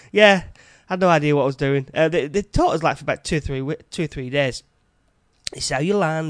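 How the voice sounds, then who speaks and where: The speaker talks at a very fast pace in a northern English accent, with ordinary pitch variation. The sound is dry and close, with no echo. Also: man. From northern England, Yorkshire/Lancashire border. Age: 40s. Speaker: podcast host, chef. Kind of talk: casual monologue. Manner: halting.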